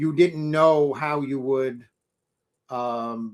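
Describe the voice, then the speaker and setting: A man with an American accent, fairly high in pitch, with ordinary pitch variation. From New York City. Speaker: interviewer. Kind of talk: interview. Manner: halting.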